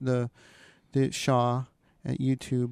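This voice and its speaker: With a Canadian accent, a man speaks at a moderate pace in a dark, mellow tone, the sound dry and close with no echo. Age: 50s. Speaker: podcast host and painter. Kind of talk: casual chat. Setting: radio studio. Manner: halting.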